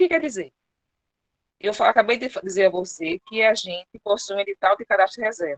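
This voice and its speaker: Speaking at a fairly quick pace, a woman with a medium pitch makes very wide pitch swings. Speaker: public servant presenting HR procedures. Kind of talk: online presentation / briefing. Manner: fast.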